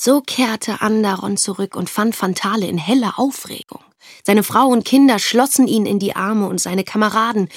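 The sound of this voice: The pitch varies in an ordinary way as the speaker reads in an unforced voice.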